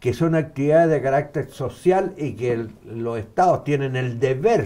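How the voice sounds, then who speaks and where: Speaking at a moderate pace with a Chilean accent, a man has a dark, mellow tone in a very clean recording with a silent background. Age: 70s. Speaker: former political bodyguard, activist. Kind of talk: interview.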